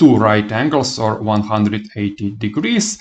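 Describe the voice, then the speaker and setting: A man speaks with a non-native accent at a fairly low pitch. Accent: non-native English, noticeable. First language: not English. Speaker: math teacher. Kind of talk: lecture. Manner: halting, many fillers.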